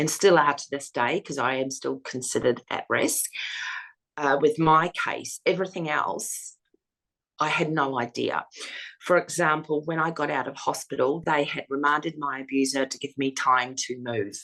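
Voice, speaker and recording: A woman with an Australian accent and a bright, sharp tone, at a moderate pace with ordinary pitch variation. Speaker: domestic violence survivor and foundation founder. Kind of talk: interview testimony. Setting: interview. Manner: hesitant fillers.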